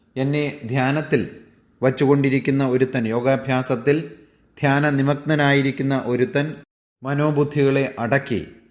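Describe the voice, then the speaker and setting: A man with a fairly high pitch and fairly even intonation speaks in an ordinary speaking voice. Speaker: Bhagavad Gita teacher. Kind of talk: religious discourse.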